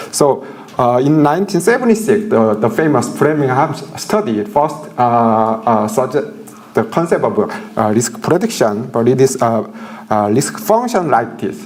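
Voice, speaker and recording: This man's voice is fairly high, with very wide swings in pitch, and he talks at a fairly slow pace. Noticeable background noise and audible room echo come through. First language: Korean. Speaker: professor. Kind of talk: lecture. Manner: halting, many fillers.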